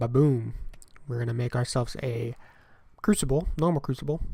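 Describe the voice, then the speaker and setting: An animated voice with an American accent comes through on a very clean recording with a silent background. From United States. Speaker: gaming YouTuber. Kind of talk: let's play commentary. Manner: casual, animated.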